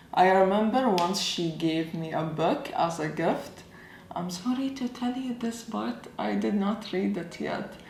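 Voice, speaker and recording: Amid noticeable background noise and audible room echo, a woman speaks at a medium pitch with very wide pitch swings. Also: fairly slow pace. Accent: Arabic. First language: Arabic. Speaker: YouTuber. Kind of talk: casual vlog talk. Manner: casual, conversational.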